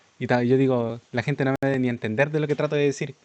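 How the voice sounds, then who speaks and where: A man's very fast speech at a fairly high pitch, with a Chilean accent. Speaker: streamer. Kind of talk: live reaction stream. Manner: sometimes fast, mumbled without moving jaw.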